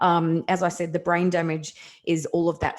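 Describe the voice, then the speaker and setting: Here is a woman speaking. Her voice sits at a fairly low pitch. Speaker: energy healer and kinesiologist. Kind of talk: podcast interview. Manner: fast.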